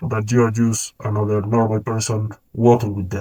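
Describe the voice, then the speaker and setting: A man speaks at a moderate pace with a dark, mellow tone. His voice is somewhat breathy. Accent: Colombian. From Colombia. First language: Spanish. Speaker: freelance video editor and vlogger. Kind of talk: casual vlog monologue to camera.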